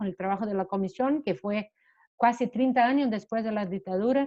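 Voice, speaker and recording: Speaking at a moderate pace, a woman with a Portuguese accent uses a fairly high pitch with ordinary pitch variation. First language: Portuguese (speaking Spanish). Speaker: human rights lawyer. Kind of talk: panel talk. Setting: video call. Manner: halting.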